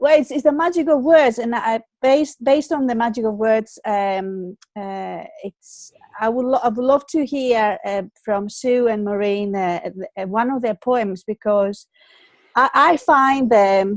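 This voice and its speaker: In a Greek accent, a woman talks fairly slowly at a fairly high pitch. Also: ordinary pitch variation. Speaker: online show host. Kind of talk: casual chat. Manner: halting, many fillers and repeats.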